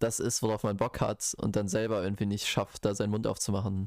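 Speaking at a very fast pace in a monotone, flat delivery, a man with a fairly low pitch comes through on a very clean recording with a silent background. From Bochum, Ruhr area, Germany. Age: 20s. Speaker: podcast co-host, biology student. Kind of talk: casual chat.

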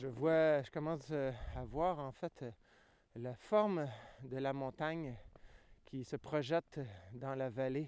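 A man with a fairly high pitch and ordinary pitch variation speaks very slowly, leaving long, frequent pauses. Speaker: podcast host. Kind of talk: outdoor walking narration. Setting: outdoors on a tundra hike. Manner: hesitant, many fillers.

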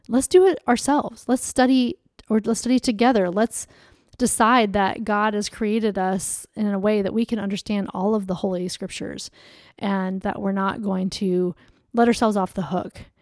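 An unremarkable speaking voice from a woman, medium in pitch with fairly even intonation at a moderate pace, dry and close with no echo on a very clean recording with a silent background. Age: 40s. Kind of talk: solo devotional podcast talk. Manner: conversational, with laughter.

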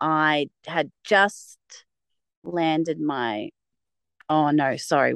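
A woman with an Australian accent, in a dry, close sound with no echo and a quiet background. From Victoria, Australia (Mornington Peninsula). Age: 30s. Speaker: primary school teacher. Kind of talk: casual interview.

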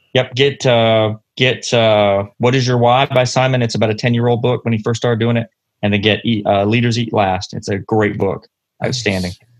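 A normal speaking voice from a man, medium in pitch, fairly even in intonation, at a moderate pace. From London, Ontario, Canada. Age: 40s. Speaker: paramedic. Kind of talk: interview.

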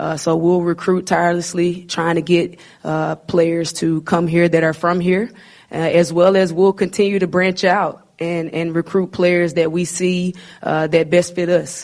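Speaking at a fairly slow pace, a woman with a Southern US accent keeps her intonation monotone and flat. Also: fairly low pitch for a woman. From Arkansas. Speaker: basketball coach. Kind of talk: press conference.

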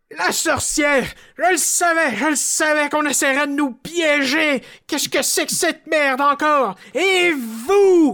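Put-on character voice, high in pitch and fairly slow in pace. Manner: pompous, indignant.

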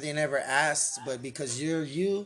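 Fairly quick speech comes from a man with an American accent. He uses an ordinary speaking voice with ordinary pitch variation. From San Antonio, Texas. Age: 30s. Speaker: podcast host. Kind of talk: casual chat. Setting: livestream on Facebook and YouTube.

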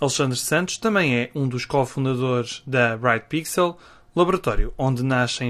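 A man with a European Portuguese accent at a moderate pace against a quiet background. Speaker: podcast host. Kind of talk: scripted intro; interview.

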